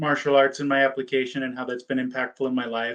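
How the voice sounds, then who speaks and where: A man's fairly high-pitched voice. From United States. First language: German. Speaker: PA school applicant. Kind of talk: mock interview. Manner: halting, many fillers and repeats.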